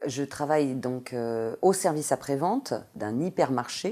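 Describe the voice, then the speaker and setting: A dark, mellow tone at a very slow pace, on a very clean recording with a silent background. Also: woman. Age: 40s. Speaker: supermarket customer service worker. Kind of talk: interview testimony. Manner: hesitant, many fillers.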